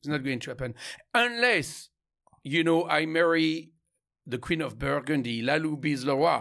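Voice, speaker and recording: In a French accent, a man with a fairly high pitch and a bright, sharp tone talks at a moderate pace with lively intonation and long, frequent pauses, on a very clean recording with a silent background. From France, Champagne. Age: 50s. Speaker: winemaker. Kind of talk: casual interview. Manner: halting with repetitions.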